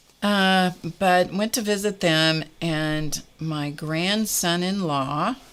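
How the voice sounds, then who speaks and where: Very slow speech from a woman at a fairly low pitch with ordinary pitch variation, in a very clean recording against a silent background. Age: 70s. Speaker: art and crafting livestream host. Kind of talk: casual chat. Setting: live stream. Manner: conversational, with fillers.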